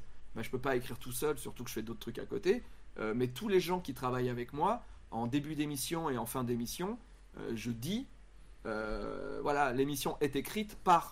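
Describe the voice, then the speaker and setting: A plain, everyday voice of a man, medium in pitch, at a fairly slow pace. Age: 40s. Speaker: YouTuber and comedian. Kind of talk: casual chat. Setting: live stream.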